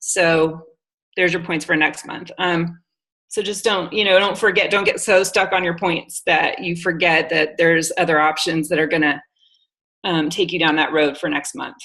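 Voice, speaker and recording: Her normal speaking voice sits at a fairly low pitch, as this woman talks at a moderate pace with fairly even intonation. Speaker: network marketing coach. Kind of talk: training talk on video call.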